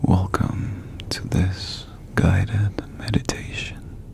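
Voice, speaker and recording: A man is whispering. His words come out in a hushed breath. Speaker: ASMR creator. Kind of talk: guided meditation. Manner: soft-spoken. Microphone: studio mic.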